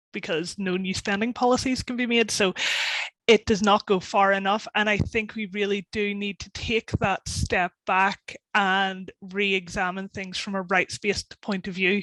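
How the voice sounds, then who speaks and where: A woman with a Northern Irish accent speaks in a medium pitch at a moderate pace, her intonation monotone and flat. The sound is dry and close, with no echo. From Northern Ireland. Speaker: policy campaigner. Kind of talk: webinar panel discussion.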